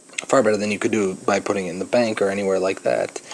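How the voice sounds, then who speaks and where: Quiet and fairly low-pitched, a man talks at a very fast pace over noticeable background noise. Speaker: high school math teacher. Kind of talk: recorded lecture notes. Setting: recording at a vacation home. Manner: hesitant, many fillers.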